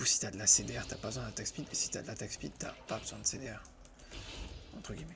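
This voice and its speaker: A man speaks very fast but with long, frequent pauses. Noticeable background noise is present. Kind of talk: ASMR gameplay commentary while playing a video game. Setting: recorded while gaming at a computer with a headset. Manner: soft-spoken.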